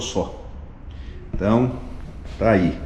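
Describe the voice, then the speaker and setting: A man at medium pitch, speaking at a very slow pace, with audible room echo. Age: 60s. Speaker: vlogger, motorcyclist and agronomist. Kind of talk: casual travel vlog narration. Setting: museum.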